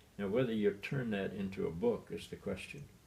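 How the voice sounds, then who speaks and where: The speaker's somewhat breathy voice goes along fairly quickly, with pitch moving in an ordinary way. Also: man. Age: 80s+. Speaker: retired bishop and author. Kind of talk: interview.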